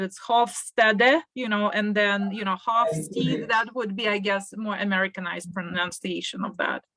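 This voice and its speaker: At a medium speed, a woman talks with a non-native accent. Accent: foreign. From Russia. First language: Russian. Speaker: panelist, international educator. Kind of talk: panel discussion. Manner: hesitant, many fillers.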